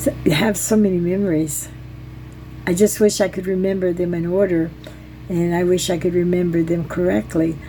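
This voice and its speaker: Noticeable background noise sits behind a woman with an American accent and a fairly low pitch. Her intonation is fairly even, and her pace is moderate. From US South. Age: 70s. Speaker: storyteller. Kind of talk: personal storytelling vlog. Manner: halting.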